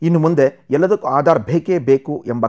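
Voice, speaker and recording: On a very clean recording with a silent background and a dry, close sound with no echo, a man with an unremarkable speaking voice talks with lively intonation. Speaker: news presenter. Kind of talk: news bulletin read.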